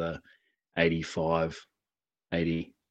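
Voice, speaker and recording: A man's very deep, low voice with an Australian accent. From New South Wales, Australia. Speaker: heavy equipment field technician. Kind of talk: casual chat. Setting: phone call.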